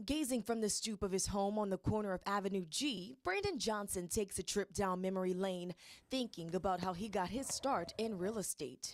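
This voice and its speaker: A woman with a normal speaking voice, medium pitch, ordinary pitch variation, a moderate pace and hardly any pauses. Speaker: news anchor. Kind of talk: local TV news anchor delivery. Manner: clear, polished, broadcast-style.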